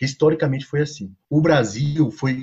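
This man's voice rides fairly high and carries a somewhat breathy quality. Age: 40s. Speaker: sociology professor. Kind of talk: podcast interview.

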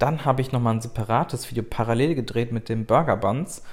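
Somewhat breathy, a man speaks at a moderate pace. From Germany, Rhineland (Bonn). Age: 20s. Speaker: cooking YouTuber. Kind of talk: solo podcast monologue. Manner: casual, with fillers and restarts.

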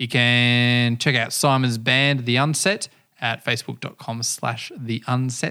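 In an Australian accent, a man talks at a very slow pace with a bright, sharp tone and medium pitch. The recording is very clean, with a silent background. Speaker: podcast host. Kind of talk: casual chat. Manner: animated, talks with hands.

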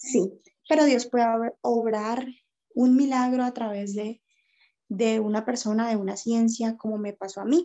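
A woman talks at a fairly slow pace, with long, frequent pauses. Her pitch is fairly high and her intonation fairly even. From Colombia, Cali. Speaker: makeup artist and makeup teacher. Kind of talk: casual interview on faith and depression.

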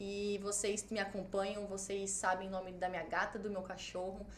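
Audible room echo surrounds a woman speaking at a medium pitch. Her pace is moderate. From Cuiabá, Mato Grosso, Brazil. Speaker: travel agency owner and blogger. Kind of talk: casual chat.

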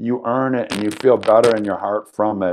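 The speaker is a man, heard against a quiet background. He keeps a moderate pace with ordinary pitch variation. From US Midwest, Madison, Wisconsin. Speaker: fitness trainer and gym founder. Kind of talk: interview.

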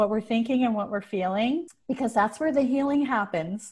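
Over a quiet background, a woman speaks in a fairly high, somewhat breathy voice with a dark, mellow tone and ordinary pitch variation. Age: 50s. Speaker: entrepreneur and mentor. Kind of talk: casual chat.

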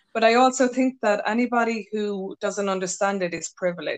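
This woman has an unremarkable speaking voice with medium pitch, ordinary pitch variation and a fairly quick pace. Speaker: podcast host. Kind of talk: casual interview chat.

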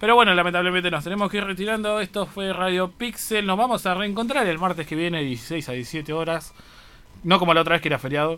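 His pitch is high for a man. He talks at a very fast pace with ordinary pitch variation. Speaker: university radio host. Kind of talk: casual radio chat.

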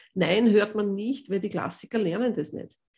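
Speaking at a fairly slow pace, a woman uses an unremarkable speaking voice at medium pitch with ordinary pitch variation. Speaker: voice coach and pianist. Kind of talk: interview.

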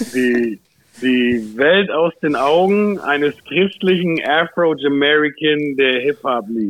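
With lively intonation, a man talks at a very slow pace in a fairly high pitch. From Germany, Ansbach (Franconia). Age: 30s. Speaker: rapper. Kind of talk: casual chat.

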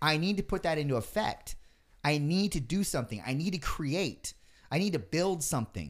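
A man with an unremarkable speaking voice talks at a moderate pace and fairly high pitch, with lively intonation and very even loudness. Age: 30s. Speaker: podcast host. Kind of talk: casual chat.

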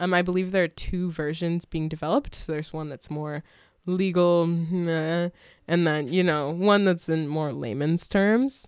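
A woman with an American accent and a plain, everyday voice speaks at a moderate pace and a fairly low pitch, on a very clean recording with a silent background. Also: ordinary pitch variation. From Washington State, US Pacific Northwest. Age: 20s. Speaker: activist and protest organizer. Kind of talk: casual chat.

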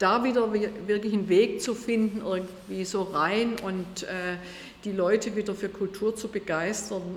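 A woman at medium pitch, fairly slow and monotone with flat intonation, against noticeable background noise. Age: 60s. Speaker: state politician. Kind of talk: interview.

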